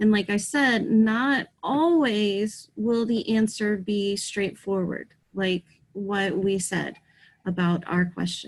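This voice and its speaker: Speaking very slowly, a woman uses a somewhat breathy voice at medium pitch with ordinary pitch variation. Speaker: teacher. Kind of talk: online lesson.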